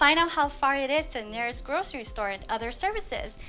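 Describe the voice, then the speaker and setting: With music in the background, a woman with an American accent speaks at a fairly quick pace in a high, raised, projected voice. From US West Coast, Los Angeles. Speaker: real estate agent. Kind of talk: scripted tutorial.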